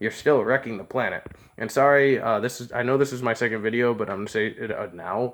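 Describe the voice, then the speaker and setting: A man mumbles at a fairly quick pace. His voice sits at a medium pitch with ordinary pitch variation. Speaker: vlogger. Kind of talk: casual monologue. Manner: mumbling; unscripted, halting.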